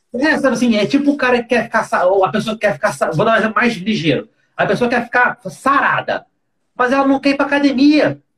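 A man talks fairly quickly with lively intonation. His pitch is extremely high. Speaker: podcast host. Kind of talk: casual chat.

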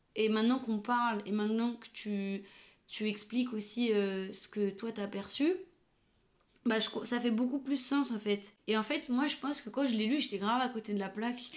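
A woman talks at a moderate pace with a fairly high pitch and fairly even intonation. Hers is a plain, everyday voice. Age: 20s. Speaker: photographer and videographer. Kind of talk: casual chat.

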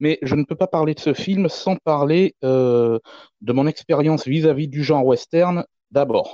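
A dark, mellow voice with ordinary pitch variation moves at a fairly slow pace, the sound dry and close with no echo over a quiet background. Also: man, fairly high pitch for a man. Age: 30s. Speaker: film enthusiast, forum member. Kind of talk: casual panel discussion.

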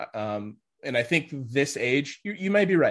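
A man's plain, everyday voice at a moderate pace with lively intonation, over a quiet background. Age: 20s. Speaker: powerlifter. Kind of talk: casual chat.

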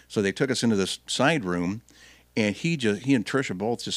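Speaking fairly quickly in a plain, everyday voice, a man has a fairly low pitch and lively intonation, recorded very cleanly with a silent background and a dry, close sound with no echo. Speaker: radio host. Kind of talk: casual chat.

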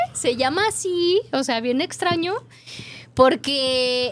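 A woman's very slow delivery with very wide pitch swings. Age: young. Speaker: radio food show host. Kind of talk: casual chat. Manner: animated.

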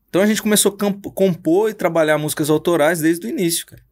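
A man speaks at a fairly high pitch and a fairly quick pace. The recording is very clean, with a silent background. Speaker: pastor and musician. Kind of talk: casual chat. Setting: studio. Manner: slangy, informal.

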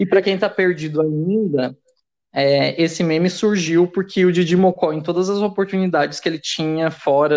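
Against a quiet background, in a dry, close sound with no echo, a man speaks at a high pitch and a moderate pace with ordinary pitch variation. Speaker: podcast co-host. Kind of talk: casual chat.

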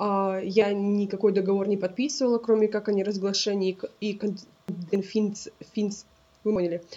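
With long, frequent pauses, a woman speaks at a moderate pace in a monotone, flat way. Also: medium pitch for a woman. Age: 20s. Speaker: podcast co-host. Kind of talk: casual chat.

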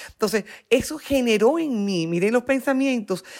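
A woman talks in an animated tone with lively intonation. The recording is very clean, with a silent background. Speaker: psychopedagogue and neurocoach. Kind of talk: interview. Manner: slow for emphasis.

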